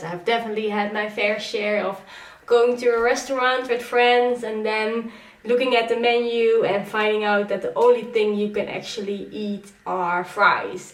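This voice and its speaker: Woman's voice at a fairly high pitch and moderate pace, with noticeable background noise. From Netherlands. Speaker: vlogger. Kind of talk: casual talk to camera.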